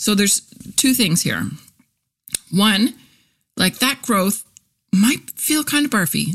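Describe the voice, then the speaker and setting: Somewhat breathy and animated, a woman speaks at a fairly slow pace. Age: 40s. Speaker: podcast host and copywriter. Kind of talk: casual monologue.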